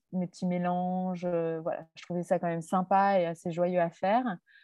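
A woman speaks in a flat monotone at a fairly low pitch and a moderate pace, with hardly any pauses. Her loudness swings widely. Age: 40s. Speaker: entrepreneur and online coach. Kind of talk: interview. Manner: hesitant, many fillers.

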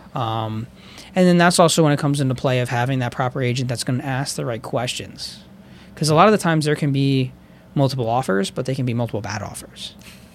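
This man talks at a very fast pace with an American accent, his medium pitch showing ordinary variation. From Pennsylvania, Chester County (Downingtown). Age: 20s. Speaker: real estate agent. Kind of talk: casual interview. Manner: hesitant, many fillers.

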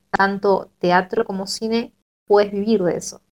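Speaking at a fairly slow pace, a woman uses fairly even intonation and a dark, mellow tone, the sound dry and close with no echo. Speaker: podcast panelist. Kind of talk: casual chat. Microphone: quiet, low volume.

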